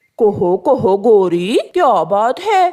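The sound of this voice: This is a cartoonish character voice. Its pitch is fairly high.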